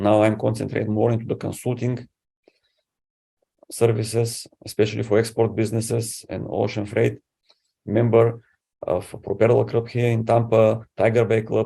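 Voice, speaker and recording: A man with a Bulgarian accent speaks at medium pitch in a dark, mellow voice with vocal fry. His intonation is flat and monotone at a moderate pace, with long, frequent pauses. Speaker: city council candidate. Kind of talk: candidate interview.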